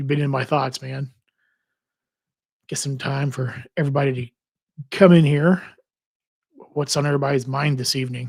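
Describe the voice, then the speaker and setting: A man talks at a moderate pace, leaving long, frequent pauses. His tone is relaxed and somewhat breathy. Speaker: credit card and travel livestreamer. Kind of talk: casual livestream chat. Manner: relaxed, repetitive with false starts.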